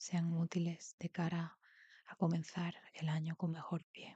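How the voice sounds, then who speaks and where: At a fairly slow pace, a woman talks in a fairly low, somewhat breathy voice, dark and mellow and calm in tone, with a dry, close sound and no echo. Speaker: tarot reader. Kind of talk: tarot reading, soft-spoken ASMR style. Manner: soft-spoken, calm.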